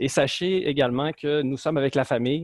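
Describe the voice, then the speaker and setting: With a Lac-Saint-Jean accent, the speaker goes at a fairly slow pace with ordinary pitch variation. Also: man. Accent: Lac-Saint-Jean Quebec. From Quebec, Lac-Saint-Jean. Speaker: management consultant. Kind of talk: webinar presentation. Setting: video call from home office.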